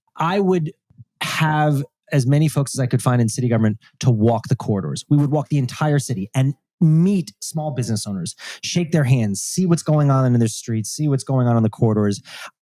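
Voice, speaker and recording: With a New York accent, a man speaks at a fairly quick pace and medium pitch, his tone dark and mellow and his intonation lively. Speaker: panelist, small business advocate. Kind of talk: live panel discussion. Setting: live panel with audience.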